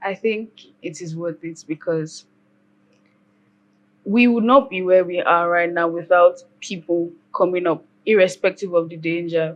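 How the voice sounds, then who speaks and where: Long pauses occur frequently. Between them, the speech runs fairly slowly. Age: young. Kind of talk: casual discussion. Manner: emphatic.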